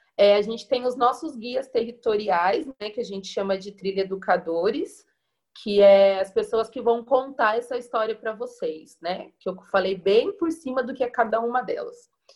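An unremarkable speaking voice talks at a moderate pace with ordinary pitch variation. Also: woman, fairly high pitch for a woman. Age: 20s. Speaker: community tourism educator. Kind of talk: panel discussion.

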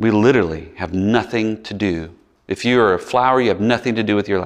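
Over a quiet background, a man with a Mississippi accent speaks at a medium pitch and a fairly quick pace, with ordinary pitch variation. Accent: Southern US (Mississippi). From US South, Biloxi, Mississippi. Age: 40s. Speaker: pastor. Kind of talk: sermon. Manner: casual, conversational.

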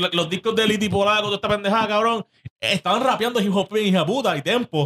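Talking very fast, a man with a bright, sharp tone is heard in a dry, close recording without echo. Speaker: podcast co-host. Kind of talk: casual chat. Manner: animated.

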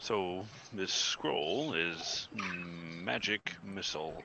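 Over clear background noise, a man uses a put-on character voice with a very deep, low pitch, speaking at a very slow pace. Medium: actual play. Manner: slow, thoughtful, humming.

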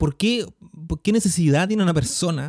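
Recorded very cleanly with a silent background, the sound is dry and close with no echo. A man with a Chilean accent speaks at a fairly quick pace in a dark, mellow tone. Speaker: podcast host. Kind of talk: casual interview.

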